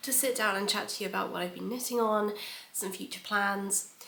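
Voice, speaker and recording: A woman's fairly high voice in a British accent, with audible room echo and noticeable background noise. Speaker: knitting podcaster and knitwear designer. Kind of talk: casual chat. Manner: hesitant with frequent ums.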